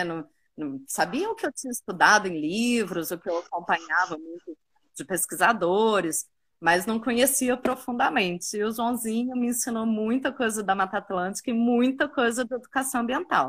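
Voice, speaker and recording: A woman's unremarkable speaking voice sits fairly high in pitch and carries lively intonation. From Minas Gerais, Brazil (Uberaba). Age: 30s. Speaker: tourism professional and park guide. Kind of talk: casual interview. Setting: online live stream.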